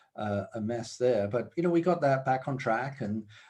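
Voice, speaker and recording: A man with a British accent at medium pitch, fairly quick, over a quiet background. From UK. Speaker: business executive. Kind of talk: interview. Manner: hesitant, many fillers.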